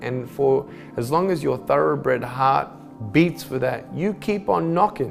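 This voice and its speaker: Speech comes at a fairly slow pace with music in the background. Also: man. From Australia. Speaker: motivational speaker. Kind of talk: motivational speech.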